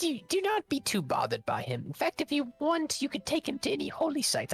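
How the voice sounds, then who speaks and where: Faint music plays in the background. A woman puts on a character voice and speaks at a fairly quick pace. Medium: actual play. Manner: commanding.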